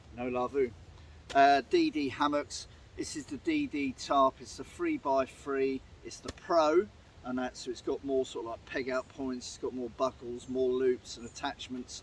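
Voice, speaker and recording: A man with an English accent speaks at a moderate pace, with big swings in loudness. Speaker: outdoors and camping vlogger. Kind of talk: casual vlog talk to camera. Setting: outdoors in woodland. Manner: speaking up loudly over the wind.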